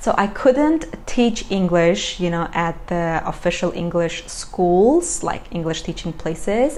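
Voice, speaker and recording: Someone with a non-native accent talks at a moderate pace with lively intonation over noticeable background noise. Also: woman. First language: not English. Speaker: vlogger. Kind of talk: casual chat. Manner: halting.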